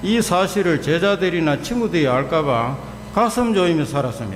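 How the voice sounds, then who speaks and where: Lively intonation marks this man's fairly high-pitched voice, heard with audible room echo and noticeable background noise. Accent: strong Gyeongsang. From Gyeongsang region, South Korea (Daegu). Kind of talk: faith testimony talk in church.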